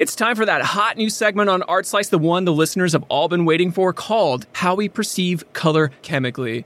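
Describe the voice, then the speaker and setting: A man's high voice at a fairly quick pace, with ordinary pitch variation, hardly any pauses and very even loudness. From US Midwest. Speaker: podcast co-host. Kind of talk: scripted narration; casual chat.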